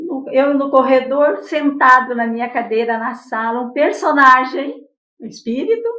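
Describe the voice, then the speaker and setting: In a raised, projected voice with a bright, sharp tone, a woman at high pitch speaks at a fairly slow pace and with fairly even intonation, with audible room echo around her. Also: big swings in loudness. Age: 70s. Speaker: spiritist lecturer and poet. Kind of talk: interview testimony.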